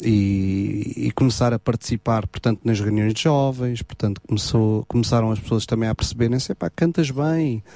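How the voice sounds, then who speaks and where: At a moderate pace, a man speaks in a dark, mellow tone with ordinary pitch variation and a dry, close sound with no echo. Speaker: gospel singer. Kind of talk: radio interview. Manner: halting, many repetitions.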